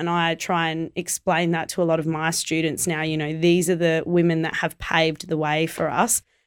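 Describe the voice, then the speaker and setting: A woman at a fairly low pitch, monotone and flat, at a moderate pace, in a very clean recording with a silent background. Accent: Australian. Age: 20s. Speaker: Muay Thai fighter and promoter. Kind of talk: casual interview chat.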